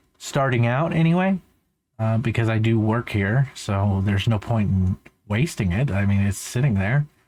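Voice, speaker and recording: An ordinary speaking voice with lively intonation and very even loudness goes at a moderate pace in a very clean recording with a silent background. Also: man, medium pitch for a man. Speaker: van life vlogger. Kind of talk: casual vlog commentary. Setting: recorded voiceover in post. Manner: casual, rambling.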